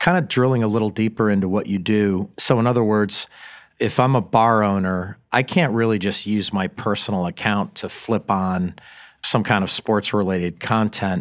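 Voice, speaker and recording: Delivered at a moderate pace, a normal speaking voice shows ordinary pitch variation on a very clean recording with a silent background. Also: man, fairly low pitch for a man. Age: 50s. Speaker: podcast host. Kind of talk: interview.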